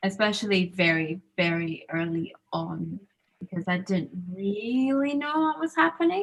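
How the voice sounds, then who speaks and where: A woman with an American accent speaks at a fairly slow pace and a medium pitch. Her somewhat breathy voice swings very widely in pitch. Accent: in-between Zambian, American and Scottish. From Zambia. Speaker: student panelist. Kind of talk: panel discussion. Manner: casual, hesitant with fillers.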